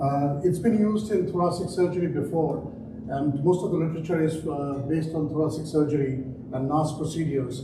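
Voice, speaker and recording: Fairly quick speech in a strong Indian accent, with fairly even intonation, noticeable background noise and audible room echo. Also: man, fairly high pitch for a man. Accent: Indian accent, still strong. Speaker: trauma surgeon. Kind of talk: conference talk. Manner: hesitant, many fillers.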